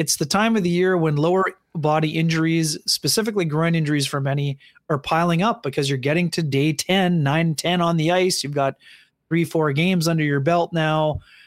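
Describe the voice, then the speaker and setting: In a normal speaking voice, a man talks at a fairly quick pace with fairly high pitch, fairly even intonation and very even loudness. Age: 40s. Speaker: hockey reporter. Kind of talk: casual chat.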